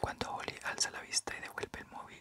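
The speaker whispers in a soft-spoken way. Loud background noise runs underneath. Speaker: book reader. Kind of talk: audiobook reading. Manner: soft whispered ASMR book reading.

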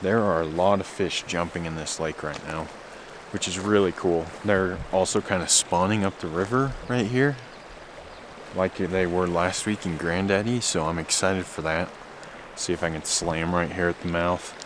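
A man speaks at a very deep, low pitch and a moderate pace, with ordinary pitch variation. The sound is dry with no echo, though background noise is noticeable. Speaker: backpacking vlogger. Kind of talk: casual vlog chat. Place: waterside. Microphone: phone near.

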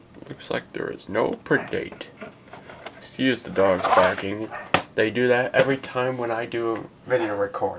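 Speech at a moderate pace comes through over loud background noise. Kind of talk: casual show-and-tell commentary. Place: home room. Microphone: phone near.

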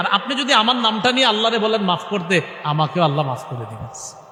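A man's high-pitched, raised and projected voice with lively intonation, audible room echo and noticeable background noise. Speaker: Islamic preacher. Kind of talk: sermon.

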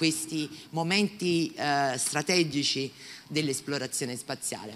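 At a fairly slow pace, a woman speaks in a bright, sharp tone. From Naples, Italy; Italy. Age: 50s. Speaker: professor of horticulture. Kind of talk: public talk. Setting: stage with audience. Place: classroom. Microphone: handheld.

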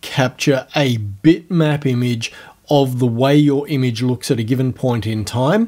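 Over a quiet background, a man speaks at a fairly slow pace. His tone is dark and mellow. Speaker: software tutorial host. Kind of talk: tutorial.

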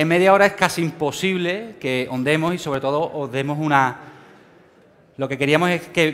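A man with a Sevillian accent, fairly high in pitch, with ordinary pitch variation. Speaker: financial trading speaker; speaker. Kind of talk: conference talk. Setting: stage with audience. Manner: fast. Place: hall.

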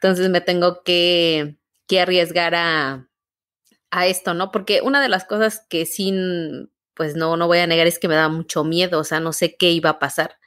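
A woman's normal speaking voice, fairly low in pitch, at a fairly slow pace with fairly even intonation. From Mexico, Guanajuato. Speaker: theatre artist and university teacher, podcast co-host. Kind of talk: casual interview conversation. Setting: remote call.

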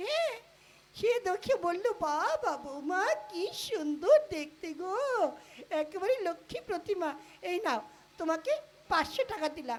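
In a cartoonish character voice pitched extremely high, a man talks at a moderate pace. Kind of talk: comic puppet play dialogue. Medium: puppet.

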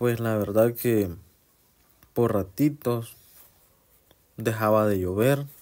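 A man's medium-pitched voice with a Honduran accent, at a very slow pace with long, frequent pauses, fairly even intonation, and a quiet background. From Honduras. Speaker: travel vlogger. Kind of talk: casual vlog narration. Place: car. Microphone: phone near.

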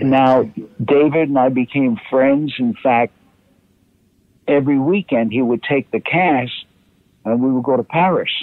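Speaking with a New York accent, a man keeps a moderate pace, medium pitch, ordinary pitch variation and very even loudness, with long, frequent pauses. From Harlem, New York. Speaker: actor. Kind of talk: interview answer.

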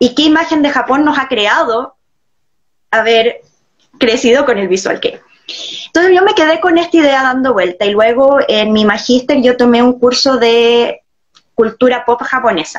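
Against a quiet background, a woman with a Chilean accent speaks high-pitched at a moderate pace, her intonation lively and her loudness very even. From Viña del Mar, Chile. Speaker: guest. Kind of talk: interview answer. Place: home room. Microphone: video call.

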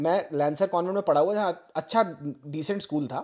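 A man with a dark, mellow tone and a high pitch. His pitch varies in an ordinary way. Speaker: podcast host. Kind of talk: casual chat.

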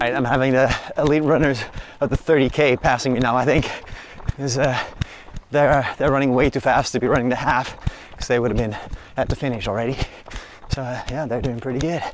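A man speaks at a fairly quick pace with fairly even intonation. The sound is dry with no echo, and there is light background noise. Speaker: runner vlogger. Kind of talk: casual vlog chat. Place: street. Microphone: phone near.

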